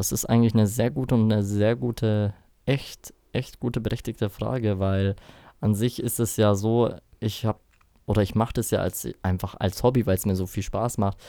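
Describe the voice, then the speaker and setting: In a very clean recording with a silent background, a man with a fairly low pitch and a dark, mellow tone holds a fairly even intonation. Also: moderate pace. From Bavaria, Rosenheim. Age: 20s. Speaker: DJ. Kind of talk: casual chat. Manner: hesitant, many fillers.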